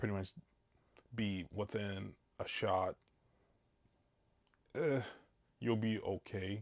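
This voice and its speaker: This man's voice sits at a fairly low pitch with fairly even intonation. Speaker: product reviewer. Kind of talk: product review talk to camera. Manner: casual, hesitant with fillers.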